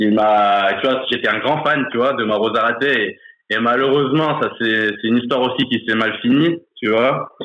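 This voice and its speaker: This man has an ordinary speaking voice at medium pitch, keeping fairly even intonation and very even loudness at a fairly slow pace. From France, Grenoble. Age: 30s. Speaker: football supporter. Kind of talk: casual chat.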